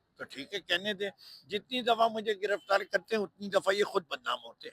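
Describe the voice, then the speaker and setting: A man talks at a moderate pace with ordinary pitch variation. The sound is dry and close, with no echo. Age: 70s. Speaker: politician. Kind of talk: interview.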